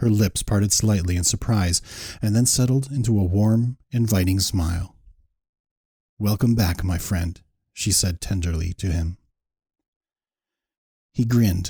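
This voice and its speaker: A man with a fairly low pitch and a dark, mellow, somewhat breathy tone talks at a fairly slow pace with ordinary pitch variation and long, frequent pauses. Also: very clean recording, silent background. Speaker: aspiring voice actor. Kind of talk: story narration.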